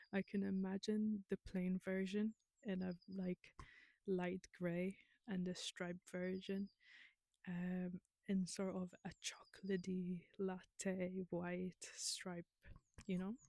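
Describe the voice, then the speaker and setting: With a non-native accent, a woman of medium pitch speaks very slowly with long, frequent pauses in a dark, mellow, monotone voice with flat intonation, and the sound is dry and close with no echo. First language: not English. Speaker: knitting vlogger. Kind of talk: casual chat. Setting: outdoors. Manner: chatty, hesitant with fillers.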